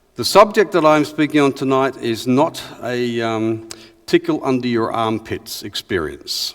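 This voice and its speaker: A man speaks with an Australian accent at a moderate pace. His intonation is lively. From Western Australia, rural. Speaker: historian and researcher. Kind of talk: lecture.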